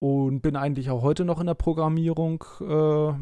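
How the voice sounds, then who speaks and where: Using a normal speaking voice, a man speaks at a moderate pace with a fairly high pitch and fairly even intonation. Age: 30s. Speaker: podcast co-host. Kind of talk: casual chat.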